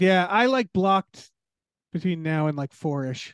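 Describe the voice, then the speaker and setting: With a plain, everyday voice and an American accent, a man talks at a moderate pace with ordinary pitch variation, his sound dry and close with no echo against a quiet background. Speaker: writer and podcaster. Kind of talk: casual chat.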